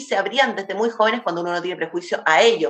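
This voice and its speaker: A woman talking at a very fast pace. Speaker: cultural journalist and radio host. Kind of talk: radio interview.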